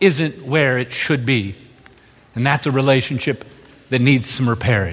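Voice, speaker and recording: Noticeable background noise sits under the recording. The man speaks at medium pitch and a moderate pace with ordinary pitch variation. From moved often: US states, Indonesia, Australia. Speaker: pastor. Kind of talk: sermon.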